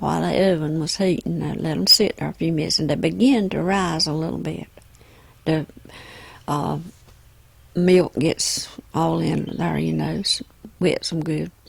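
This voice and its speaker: A woman with a Southern US accent at a fairly slow pace. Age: 70s. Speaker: home cook, grandmother. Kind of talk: casual chat.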